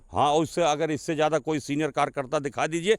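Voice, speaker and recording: A man with a normal speaking voice and a fairly high pitch shows ordinary pitch variation, recorded very cleanly against a silent background with a dry, close sound and no echo. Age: 60s. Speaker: local politician. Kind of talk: interview.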